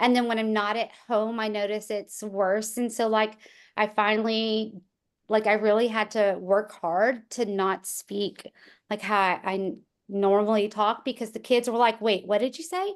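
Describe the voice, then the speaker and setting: Against a quiet background, a woman speaks in a fairly high voice at a moderate pace. She has a slight country accent and fairly even intonation. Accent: slight country twang. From rural small town. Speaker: real estate agent, former teacher. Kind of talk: casual chat.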